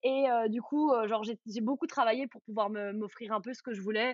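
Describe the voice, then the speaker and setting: With a plain, everyday voice, a woman speaks at a fairly quick pace, her pitch fairly high and ordinary in its variation. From Belgium, Charleroi region. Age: 30s. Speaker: influencer. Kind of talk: casual chat.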